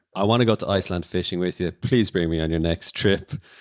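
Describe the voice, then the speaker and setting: A man with an Irish accent speaks in a very deep, low voice on a very clean recording with a silent background. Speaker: podcast co-host. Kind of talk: casual chat; scripted narration.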